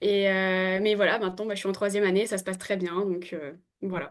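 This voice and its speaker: A woman talks at a moderate pace. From New Caledonia. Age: 20s. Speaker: veterinary student. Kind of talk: podcast interview. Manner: hesitant, many fillers.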